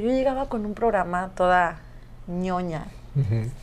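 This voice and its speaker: The pace is fairly slow, with audible room echo. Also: woman. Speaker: singer and radio host. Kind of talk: casual interview.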